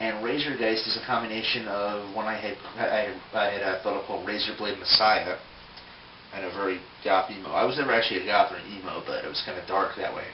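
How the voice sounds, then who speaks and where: Over noticeable background noise and audible room echo, a man talks very fast in a fairly low pitch with fairly even intonation. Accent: Philadelphia. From US, Philadelphia, Pennsylvania. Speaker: toy collector video blogger. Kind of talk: casual vlog answering questionnaire. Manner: hesitant, many fillers.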